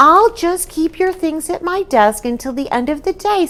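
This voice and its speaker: A woman's squeaky, put-on character voice, extremely high for a woman, at a moderate pace. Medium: read story. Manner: easygoing, warm.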